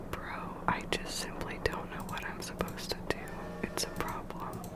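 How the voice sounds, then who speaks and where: Whispering at a moderate pace in a relaxed tone, the speaker is heard over noticeable background noise. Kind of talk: casual gameplay commentary talking to camera. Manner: whispered, relaxed.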